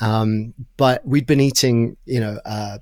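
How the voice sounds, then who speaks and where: The speaker has an American accent, captured on a very clean recording with a silent background. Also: man. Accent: mid-Atlantic, between British and American. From Brighton, England. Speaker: travel writer and podcast host. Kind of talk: casual interview chat, storytelling.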